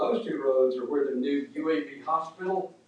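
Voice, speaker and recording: Noticeable background noise beneath speech with ordinary pitch variation. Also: man. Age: 70s. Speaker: resident speaking at public hearing. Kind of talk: public comment at government meeting.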